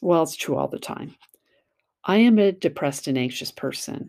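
Her tone is dark and mellow, and she talks at a moderate pace. The recording is very clean, with a silent background. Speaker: podcast host, self-help blogger. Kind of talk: casual monologue. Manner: conversational.

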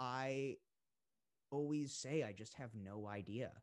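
A man with an American accent speaks very slowly at a medium pitch. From Boston suburbs, Massachusetts. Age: 20s. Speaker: singer-songwriter. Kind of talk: casual interview.

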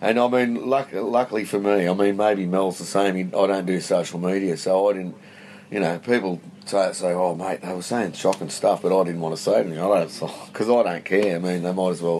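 A man speaks in a very deep, low voice with an Australian accent, at a fairly quick pace. His intonation stays fairly even, and there is noticeable background noise. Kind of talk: casual chat. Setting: outdoors.

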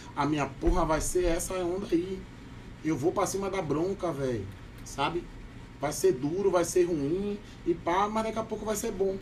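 A man's high-pitched voice with a Bahian accent, broken by long, frequent pauses. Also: ordinary pitch variation, moderate pace. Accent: Bahian, kept. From Bahia, Salvador. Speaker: podcast guest. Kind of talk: casual chat. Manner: animated.

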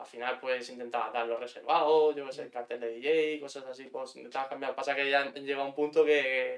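A medium-pitched male voice, monotone and flat, at a fairly quick pace with hardly any pauses and big swings in loudness. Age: 30s. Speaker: bar owner. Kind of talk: casual chat.

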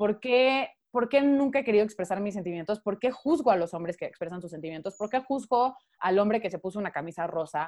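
A woman speaks in a plain, everyday voice. Her pace is fairly quick. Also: medium pitch for a woman. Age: 20s. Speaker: podcast guest. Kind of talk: casual chat.

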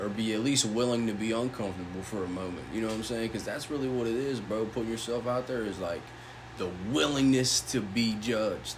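Amid noticeable background noise, a man of medium pitch talks at a very fast pace with fairly even intonation. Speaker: podcast host. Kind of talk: casual chat. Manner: casual, profane.

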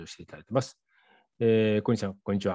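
A man speaks in a dark, mellow tone at a fairly low pitch, with a dry, close sound, no echo and a quiet background. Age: 50s. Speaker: radio host, rural private school head. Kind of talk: interview. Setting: remote call with guest in Myanmar. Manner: frequent fillers, hesitant.

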